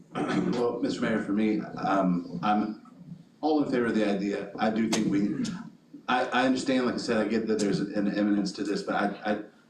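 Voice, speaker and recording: Audible room echo and noticeable background noise accompany a man whose fairly low voice stays at very even loudness with ordinary pitch variation. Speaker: city council member. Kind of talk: council meeting discussion. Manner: fast.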